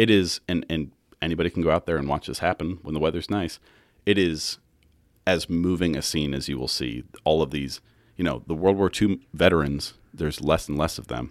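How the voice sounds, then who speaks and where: A man with very deep, low pitch and vocal fry at a fairly quick pace, on a very clean recording with a silent background. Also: ordinary pitch variation. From Kansas. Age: 20s. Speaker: podcast producer, guest co-host. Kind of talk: casual chat.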